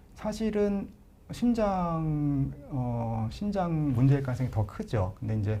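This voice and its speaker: Somewhat breathy, this man has a dark, mellow tone and a fairly high pitch. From Chungcheong, Korea. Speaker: pulmonologist, professor. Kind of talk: live Q&A, medical explanation. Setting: live broadcast. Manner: hesitant fillers, conversational.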